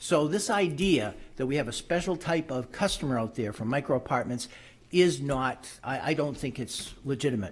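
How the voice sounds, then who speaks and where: A man speaks at a moderate pace in a fairly high pitch. His voice is somewhat breathy, with lively intonation. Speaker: public commenter at zoning hearing. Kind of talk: public comment at board meeting.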